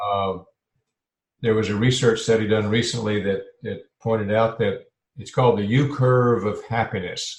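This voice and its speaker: A somewhat breathy man with a medium pitch speaks in fairly even intonation, leaving long, frequent pauses. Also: moderate pace. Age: 70s. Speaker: health and life transition coach. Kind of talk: podcast interview. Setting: podcast. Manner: halting, with fillers.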